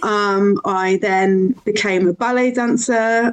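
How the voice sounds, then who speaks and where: Noticeable background noise accompanies speech with fairly even intonation. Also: woman. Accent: Birmingham. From Birmingham, England. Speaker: podcast guest sharing recovery story. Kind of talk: personal testimony in interview.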